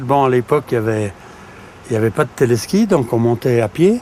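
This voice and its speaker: Over noticeable background noise, a man speaks at medium pitch and a fairly slow pace. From French Alps, Savoie (Tarentaise). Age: 70s. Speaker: retired ski instructor and local councillor. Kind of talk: interview testimony. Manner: halting, many repetitions.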